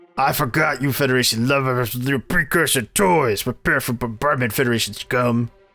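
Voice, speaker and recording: Over music in the background, a man in a put-on character voice talks at a medium pitch and a fairly quick pace with hardly any pauses. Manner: menacing, contemptuous.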